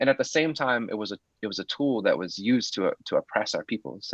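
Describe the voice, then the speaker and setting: A man with an American accent, medium pitch and moderate pace, in a dry, close sound with no echo and a quiet background. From US Pacific Northwest. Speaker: poet. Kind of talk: webinar talk. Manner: halting, many fillers.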